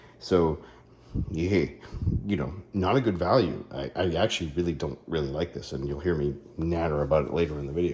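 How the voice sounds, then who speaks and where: With audible room echo, a man with a very deep, low pitch and vocal fry speaks at a fairly quick pace with ordinary pitch variation. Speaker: car care YouTuber. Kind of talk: product review tutorial. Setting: home garage. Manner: casual, hesitant with fillers.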